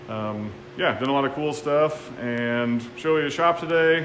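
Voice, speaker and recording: A man talks with ordinary pitch variation. Noticeable background noise and audible room echo surround him. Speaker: woodworker and channel host. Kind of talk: casual shop tour interview. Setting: woodworking shop. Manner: loud talker. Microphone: poor audio.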